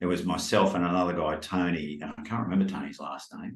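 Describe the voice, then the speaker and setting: With audible room echo, a man with a very deep, low pitch speaks at a moderate pace. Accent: strong Australian. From Australia, Brisbane. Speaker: life coach. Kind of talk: casual chat.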